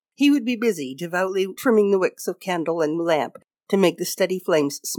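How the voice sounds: Against a quiet background, someone reads naturally, the intonation lively.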